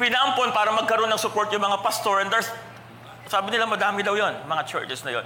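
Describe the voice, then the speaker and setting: A man talks at a high pitch in a raised, projected voice, animated and fairly quick, with audible room echo and noticeable background noise. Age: 40s. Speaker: pastor. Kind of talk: sermon. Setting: church.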